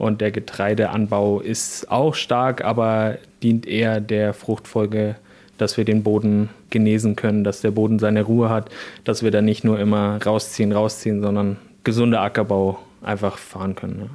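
A man's fairly low, dark, mellow voice at a moderate pace, in monotone, flat intonation, on a very clean recording with a silent background. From Bavaria, south of Regensburg. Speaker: organic farmer. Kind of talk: interview.

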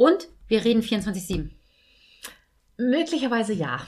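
This woman's voice is somewhat breathy, with very wide pitch swings. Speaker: dog trainer. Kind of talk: casual chat. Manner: laughs often.

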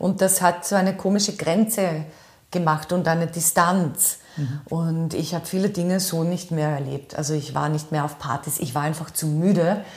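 A woman with a fairly low pitch and a somewhat breathy quality talks at a moderate pace. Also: fairly even intonation. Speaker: voice and rhetoric trainer, former radio host. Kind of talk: interview. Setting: in her office.

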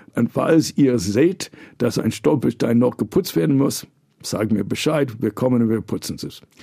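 This man speaks with an American accent at a moderate pace, his medium-pitched voice dark and mellow in tone. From New York, US. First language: English (speaking German). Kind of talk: interview conversation. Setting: studio.

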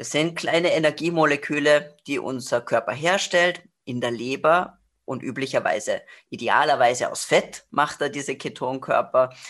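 Over a quiet background, a woman with a very deep, low pitch talks at a moderate pace, her loudness swinging widely while her pitch varies in an ordinary way. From Austria, Salzburg. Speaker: nutrition expert and author. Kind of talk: expert interview.

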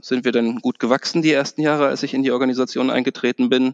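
A man speaks at a medium pitch with fairly even intonation, his voice dry and close with no echo over a quiet background. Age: 40s. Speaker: bank manager. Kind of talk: interview. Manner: hesitant, many fillers.

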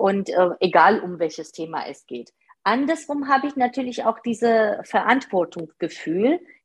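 Somewhat breathy and fairly high in pitch, a woman speaks at a fairly slow pace with lively intonation. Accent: non-native. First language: not German (speaking German). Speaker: part-time manager. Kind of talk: interview. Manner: hesitant, many fillers.

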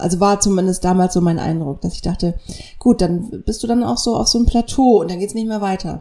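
A woman talks at a fairly quick pace in a normal speaking voice, her medium pitch showing ordinary variation. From northern Germany (near Kiel). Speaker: podcast co-host, radio journalist. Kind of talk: casual chat. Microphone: poorly set-up microphone.

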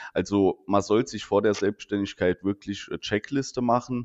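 A man with a Saarland accent talks at a moderate pace in a fairly low voice. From Saarland, Germany. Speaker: insurance agent and podcast co-host. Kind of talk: casual chat.

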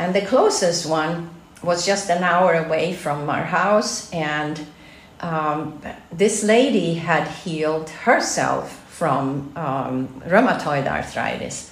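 A very slow voice with a Swedish accent, with audible room echo and noticeable background noise. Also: woman, fairly low pitch for a woman, ordinary pitch variation. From Sweden. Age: 60s. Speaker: health institute director. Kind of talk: interview.

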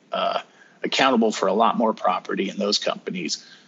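With a General American accent, a man speaks at a fairly quick pace. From northern Colorado. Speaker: retired army sergeant. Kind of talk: casual interview.

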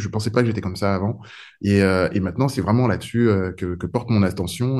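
The man's fairly low voice has a dark, mellow tone and fairly even intonation. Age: 40s. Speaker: app founder, entrepreneur. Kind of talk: interview. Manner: halting, many repetitions and fillers.

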